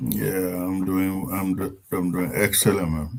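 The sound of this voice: A man talks fairly slowly in a low voice with vocal fry and a slightly mellow tone. His intonation is fairly even, and the room echo is audible.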